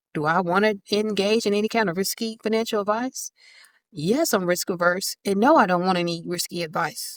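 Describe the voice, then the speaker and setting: A woman speaks in a plain, everyday voice at medium pitch with ordinary pitch variation and a fairly quick pace. The recording is very clean with a silent background and a dry, close sound with no echo. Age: 50s. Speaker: personal finance vlogger. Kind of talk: casual talk to camera. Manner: casual, conversational.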